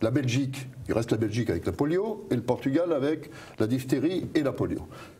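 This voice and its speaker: A man's somewhat breathy voice with a dark, mellow tone at a moderate pace. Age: 60s. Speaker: pharmacist and author, whistleblower. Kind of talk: interview. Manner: hesitant, many fillers and repetitions.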